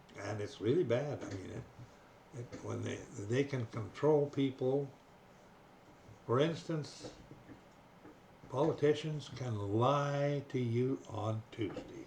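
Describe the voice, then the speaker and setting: A man's medium-pitched voice at a very slow pace, with long, frequent pauses, big swings in loudness, ordinary pitch variation and noticeable background noise. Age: 80s+. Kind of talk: casual monologue to camera. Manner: slow, hesitant.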